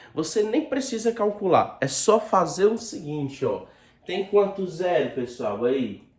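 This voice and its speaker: Speaking at a fairly slow pace, a man with a high voice moves through very wide pitch swings. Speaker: school math teacher. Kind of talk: video lesson.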